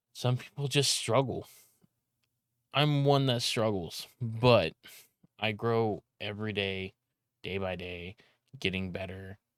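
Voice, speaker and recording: A man with an American accent, fairly low in pitch, very slow with long, frequent pauses, ordinary pitch variation, a dry, close sound with no echo and a very clean, silent background. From California. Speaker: streamer and video editor. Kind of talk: casual vlog monologue. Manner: loud, often sounds like yelling; rambling, halting with restarts.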